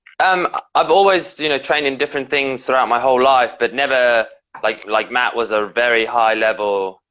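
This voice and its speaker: A man with a slight British accent, medium pitch and a bright, sharp tone, at a moderate pace with ordinary pitch variation and very even loudness, over a quiet background. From South Africa and England. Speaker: professional wrestler. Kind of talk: interview. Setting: live stream video call.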